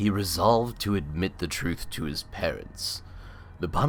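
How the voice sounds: Lively intonation in a natural reading voice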